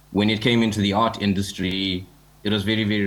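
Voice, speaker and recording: A man with a very deep, low pitch speaks in a space with audible room echo. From Zimbabwe. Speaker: digital artist and NFT community founder. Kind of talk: panel discussion. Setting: joining a conference panel online. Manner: fast.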